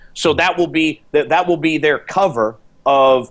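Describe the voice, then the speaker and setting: An ordinary speaking voice: a man at a fairly high pitch with ordinary pitch variation. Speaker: commodity trader. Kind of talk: interview.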